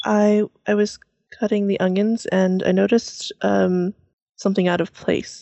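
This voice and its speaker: A woman talks fairly slowly in a monotone, flat intonation. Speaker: tabletop role-playing game player. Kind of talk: tabletop role-playing game session, casual chat.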